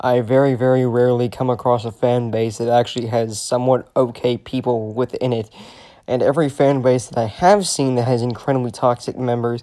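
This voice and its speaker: Quiet and at a moderate pace, a man speaks with a medium pitch. His tone is dark and mellow. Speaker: commentary YouTuber. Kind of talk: rant.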